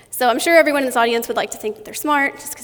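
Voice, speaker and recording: Noticeable noise sits behind the voice. A woman speaks with ordinary pitch variation. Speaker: conference speaker. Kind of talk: conference talk. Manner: fast.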